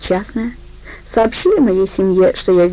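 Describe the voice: The intonation is lively. The reading aloud is plain.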